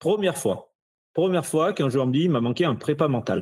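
A man talks with lively intonation. Vocal fry runs through his voice. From France, Ardèche. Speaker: athletic fitness coach. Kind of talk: casual interview chat.

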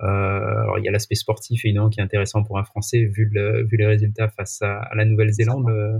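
At a fairly quick pace, a man speaks in a monotone, flat way at fairly low pitch. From France, Marseille. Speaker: sports tech sales executive. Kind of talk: podcast interview. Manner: halting, many fillers.

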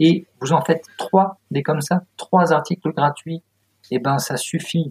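The man's voice is somewhat breathy, with a dry, close sound and no echo. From France, moved around provinces. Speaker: copywriter and author. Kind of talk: casual interview chat. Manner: animated.

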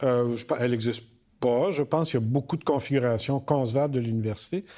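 A man speaks with a Quebec accent at a moderate pace. His tone is dark and mellow, and the recording is very clean with a silent background. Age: 60s. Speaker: university rector. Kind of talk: interview.

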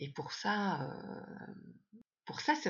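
A woman speaks in a somewhat breathy voice. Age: 50s. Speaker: yoga teacher and coach. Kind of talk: casual interview chat. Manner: halting, many hesitations.

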